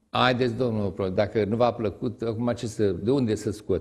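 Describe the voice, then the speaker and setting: Somewhat breathy, a man speaks at a moderate pace. The background is quiet. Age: 70s. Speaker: retired teacher and writer; retired teacher. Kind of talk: TV interview. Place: studio.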